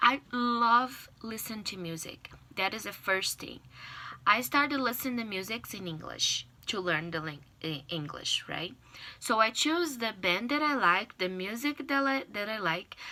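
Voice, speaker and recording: A woman's fairly high, bright and sharp voice in a Portuguese accent, at a fairly slow pace, with very wide pitch swings and big swings in loudness. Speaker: language learner giving a class speech. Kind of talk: persuasive speech. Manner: halting, with fillers and restarts.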